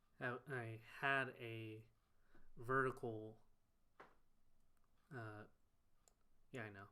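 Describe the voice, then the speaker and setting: A man with a medium pitch and a bright, sharp tone speaks at a very slow pace in a monotone, flat intonation. Long, frequent pauses break up his speech, and there is audible room echo. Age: 20s. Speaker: livestreamer and site developer. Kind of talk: live coding stream with Q&A. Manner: casual, halting with self-corrections.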